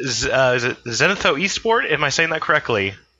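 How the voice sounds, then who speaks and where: A man with an American accent at a moderate pace, with very wide pitch swings and music in the background. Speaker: podcast host. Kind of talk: casual podcast discussion. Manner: hesitant, filler-heavy.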